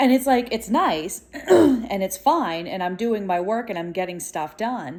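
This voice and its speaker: A woman speaks loudly and with an animated tone, her pitch swinging very widely. She goes at a fairly slow pace with hardly any pauses. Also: medium pitch for a woman. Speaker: vlogger. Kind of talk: casual vlog monologue.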